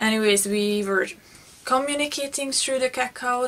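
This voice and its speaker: A woman with a Hungarian accent speaks with fairly even intonation. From Hungary. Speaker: beauty vlogger. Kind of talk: personal storytelling vlog. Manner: halting, with repetitions.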